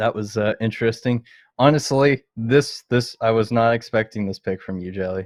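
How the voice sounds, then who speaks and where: A man with a Canadian accent speaks at a fairly quick pace in a normal speaking voice. His pitch is fairly low, and the background is quiet. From Canada. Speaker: podcast host. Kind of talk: casual chat.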